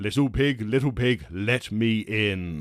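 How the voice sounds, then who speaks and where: This man uses a put-on character voice at a medium pitch. He booms at a fairly slow pace. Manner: commanding, menacing.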